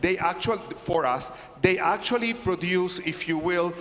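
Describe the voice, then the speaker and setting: With an American accent and a high pitch, a man speaks at a moderate pace amid noticeable background noise. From California. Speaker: conference workshop presenter. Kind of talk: lecture. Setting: church conference workshop with audience.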